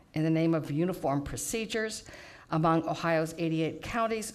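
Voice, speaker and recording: In a plain, everyday voice, a woman talks at a moderate pace, fairly low-pitched with ordinary pitch variation. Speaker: public speaker. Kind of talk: prepared public testimony. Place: hall. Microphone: podium.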